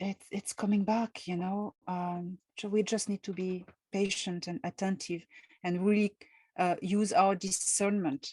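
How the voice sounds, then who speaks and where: A woman's somewhat breathy, dark, mellow voice, fairly slow and monotone, with a dry, close sound and no echo. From France. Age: 50s. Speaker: author and contactee. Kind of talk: interview.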